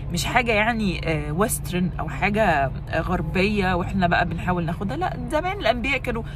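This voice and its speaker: A woman amid noticeable background noise and audible room echo. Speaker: lifestyle vlogger. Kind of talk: vlog talk to camera. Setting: walking in the street. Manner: loud; casual with frequent fillers and English code-switching.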